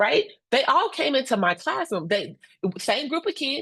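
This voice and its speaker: A woman with an American accent speaks loudly at a moderate pace. Her tone is animated, with very wide pitch swings. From Indiana (Gary). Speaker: instructional coach and presenter. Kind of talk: professional webinar presentation.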